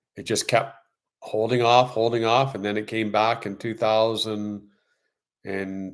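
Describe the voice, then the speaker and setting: A man with a Canadian accent in a normal speaking voice, fairly low in pitch, with fairly even intonation, on a very clean recording with a silent background. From Canada. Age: 60s. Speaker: YouTuber and interior design contractor. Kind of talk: casual live stream chat. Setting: live stream.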